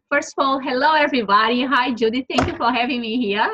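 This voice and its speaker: A woman speaks with a Brazilian Portuguese accent. Her voice is high. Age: 40s. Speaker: entrepreneur and author. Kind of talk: interview. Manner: halting, many fillers.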